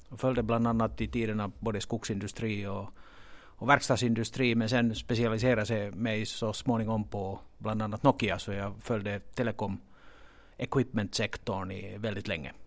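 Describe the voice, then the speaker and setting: At a moderate pace, a man speaks with a fairly low pitch and fairly even intonation in a very clean recording with a silent background. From Finland. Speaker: stock exchange executive. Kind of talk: interview. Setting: exchange offices. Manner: halting, with many repeated words.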